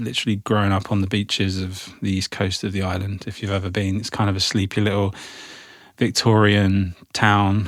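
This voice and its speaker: In a southern English accent, a man speaks at a moderate pace with a fairly low pitch. His intonation is monotone and flat. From England, Isle of Wight. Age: 40s. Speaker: arts event founder. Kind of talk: casual interview chat. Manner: casual, loose, with fillers.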